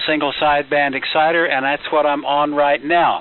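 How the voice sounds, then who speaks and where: A man at a fairly high pitch, with noticeable background noise. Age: 70s. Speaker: ham radio net controller. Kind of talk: amateur radio net talk. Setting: ham radio transmission.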